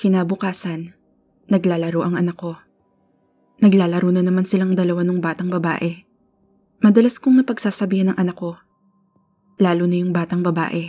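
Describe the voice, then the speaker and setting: Fairly low-pitched woman's voice, fairly quick yet broken by long, frequent pauses, with fairly even intonation and music in the background. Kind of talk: ghost story telling, first-person spooky narration of a true haunting. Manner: earnest and conversational, polite with 'po'.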